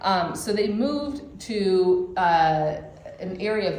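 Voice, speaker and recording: With a Michigan accent, a woman speaks amid noticeable background noise and audible room echo. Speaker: church class teacher. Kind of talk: lecture. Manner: casual, many fillers.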